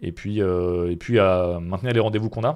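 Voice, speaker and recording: The background is hushed. A man's voice is heard. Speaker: streamer. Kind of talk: live stream Q&A. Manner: fast; casual, hesitant with many fillers.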